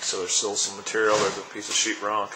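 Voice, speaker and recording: There is noticeable noise in the background. The speech moves at a fairly quick pace. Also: man. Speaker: auctioneer / real estate auction presenter. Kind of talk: real estate property walkthrough narration. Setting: recorded on location at a property, camera tour.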